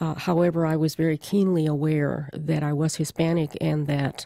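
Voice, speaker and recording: A woman with a very deep, low pitch and a dark, mellow tone speaks at a fairly slow pace in a very clean recording with a silent background. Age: 70s. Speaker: interviewee. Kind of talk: recorded family conversation.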